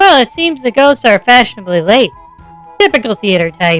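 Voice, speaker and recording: In a fairly high, put-on character voice, someone talks at a fairly quick pace with faint music in the background. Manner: mocking.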